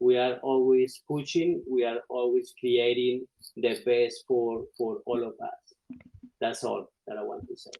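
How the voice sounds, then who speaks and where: With a Spanish accent, a man speaks at a fairly slow pace, his loudness swinging widely. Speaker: community chat volunteer. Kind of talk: casual remarks on a call. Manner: halting.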